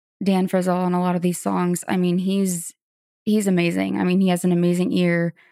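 With an American accent and a normal speaking voice, a woman talks at medium pitch and a moderate pace in a very clean recording with a silent background and a dry, close sound with no echo. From Florida. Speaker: singer-songwriter. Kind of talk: interview.

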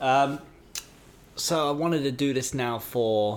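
At a fairly slow pace, a man speaks with a British accent. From UK. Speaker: podcast host's partner. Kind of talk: casual chat.

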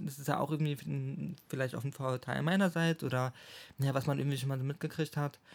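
A man with a normal speaking voice talks at a fairly quick pace and a fairly high pitch. His intonation is fairly even, on a very clean recording with a silent background. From Schwerin, Mecklenburg-Western Pomerania, Germany. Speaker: psychology graduate. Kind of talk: casual chat.

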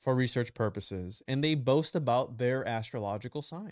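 A man speaks in a normal speaking voice at a medium pitch and moderate pace. The recording is very clean, with a silent background. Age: 20s. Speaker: occult researcher guest. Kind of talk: casual chat.

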